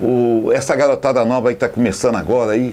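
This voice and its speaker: A man is speaking. His pitch is medium. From Brazil, Volta Redonda (Rio de Janeiro state). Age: 60s. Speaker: football fan, supporters' band leader. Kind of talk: interview testimony.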